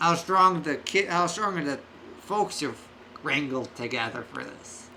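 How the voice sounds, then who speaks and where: A man puts on a high-pitched character voice at a moderate pace. Clear background noise runs behind him. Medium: actual play. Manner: gruff, blunt.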